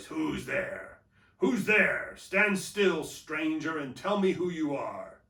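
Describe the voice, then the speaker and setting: A man growls through a put-on character voice at a high pitch. He speaks at a very slow pace. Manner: menacing, demanding.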